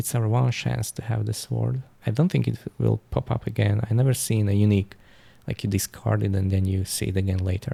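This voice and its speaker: Speaking at a fairly quick pace with a non-native accent, a man has a fairly low pitch, a dark, mellow tone, a somewhat breathy quality and very wide pitch swings. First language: not English. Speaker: gaming YouTuber. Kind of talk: gameplay commentary. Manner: halting, with restarts.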